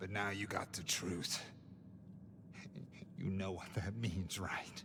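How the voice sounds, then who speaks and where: A man puts on a character voice with a very deep, low pitch and an anxious tone. He speaks at a fairly slow pace over loud background noise. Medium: video game. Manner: anxious, strained.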